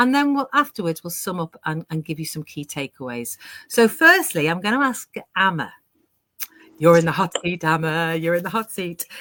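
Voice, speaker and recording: With a British accent and a bright, sharp tone, the voice moves at a moderate pace with very wide pitch swings and big swings in loudness. The sound is dry and close with no echo, in a very clean recording with a silent background. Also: woman, fairly low pitch for a woman. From UK. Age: 60s. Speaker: online business owner hosting a panel. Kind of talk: live panel discussion. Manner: animated.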